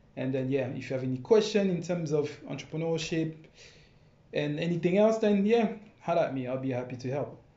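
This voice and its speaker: There is audible room echo around a man's fairly high voice. He talks at a fairly quick pace with lively intonation. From France. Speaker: dancer and entrepreneur. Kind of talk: casual chat.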